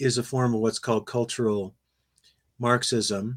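With a normal speaking voice, a man talks at medium pitch and a moderate pace, his intonation fairly even. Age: 60s. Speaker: philosophy professor. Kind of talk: interview conversation.

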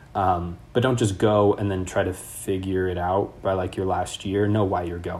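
Somewhat breathy and fairly low-pitched, a man speaks with an American accent. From Northern California, Sacramento. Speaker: graduate student. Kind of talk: interview.

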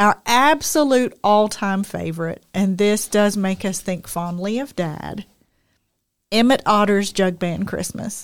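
A woman talks at medium pitch with ordinary pitch variation. She has an ordinary speaking voice. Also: fairly slow pace. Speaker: podcast co-host. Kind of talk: casual chat.

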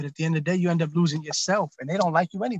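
Here a man speaks in an American accent with a high pitch. His intonation stays fairly even, and the sound is dry and close with no echo. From South Jersey (Camden County), US. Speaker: physician. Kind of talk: casual interview. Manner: casual, slangy.

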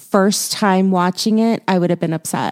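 With an American accent, a woman talks in a dark, mellow tone at medium pitch, her intonation monotone and flat, the sound dry and close with no echo. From Houston, Texas. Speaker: podcast co-host, movie reviewer. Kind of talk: casual chat.

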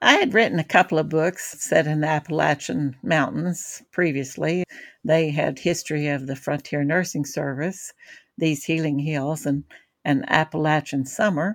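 This woman has a very deep, low pitch and an American accent. The recording is very clean, with a silent background. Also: ordinary pitch variation, moderate pace. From Kentucky, outer Bluegrass region. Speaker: novelist. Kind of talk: casual interview.

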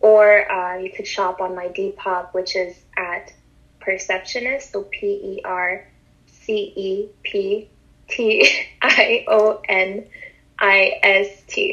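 A woman with a Montreal accent, speaking at a very slow pace. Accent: Montreal English, Canadian. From Montreal, Canada. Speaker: fashion and sneaker enthusiast. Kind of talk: casual interview.

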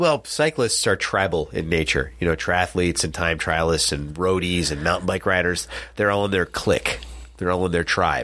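On a very clean recording with a silent background, a man with an American accent talks at a moderate pace in a very deep, low voice with vocal fry, a bright, sharp tone, ordinary pitch variation and very even loudness. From New Jersey, US. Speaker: cycling podcast co-host, amateur bike racer. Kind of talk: casual chat. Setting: studio.

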